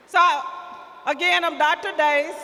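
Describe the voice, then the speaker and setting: A woman's raised, projected voice, high in pitch and very slow, over noticeable background noise. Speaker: school district administrator. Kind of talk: ceremony introductions. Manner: loud.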